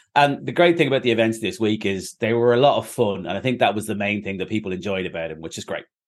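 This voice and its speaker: A fairly low-pitched man with an Irish accent, very fast in pace and lively in intonation. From Ireland. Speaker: novelist and former comedian. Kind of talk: author interview, casual chat.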